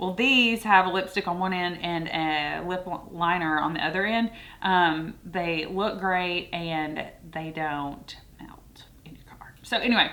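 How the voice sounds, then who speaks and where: A woman talks with ordinary pitch variation and big swings in loudness. Audible room echo is present. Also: fairly low pitch for a woman. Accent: Southern US. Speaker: beauty and fragrance youtuber. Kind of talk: product review. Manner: casual, chatty with fillers.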